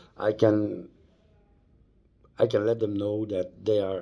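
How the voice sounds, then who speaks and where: A man speaks with a Dutch accent. His pace is very slow. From Netherlands. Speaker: vlogger. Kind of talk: personal storytelling vlog. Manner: halting.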